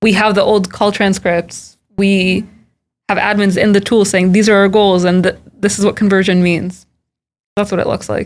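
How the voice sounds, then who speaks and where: A woman with a Californian accent speaks at medium pitch and a moderate pace. Her intonation is monotone and flat, with long, frequent pauses. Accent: General American, California. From US West Coast, Silicon Valley. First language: Hebrew. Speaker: tech product manager. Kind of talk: podcast interview.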